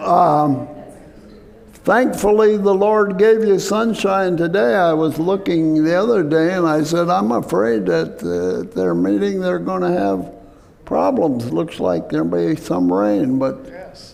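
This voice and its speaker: A man's fairly high voice with very wide pitch swings, a fairly slow pace, and noticeable background noise. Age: 80s+. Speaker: physician and health lecturer. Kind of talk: health talk to church audience.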